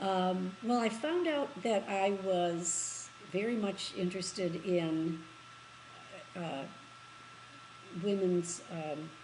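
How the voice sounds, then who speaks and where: A very slow, medium-pitched woman's voice with an American accent, ordinary pitch variation, long and frequent pauses, and audible room echo. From US Midwest, Michigan. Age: 80s+. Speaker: interviewee. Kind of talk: interview. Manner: halting.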